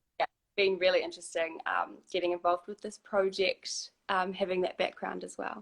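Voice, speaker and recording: Speech at a moderate pace with a New Zealand accent, almost no pauses, and big jumps in volume. The sound is dry and close, with no echo. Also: woman. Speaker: human rights lawyer. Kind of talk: casual panel discussion.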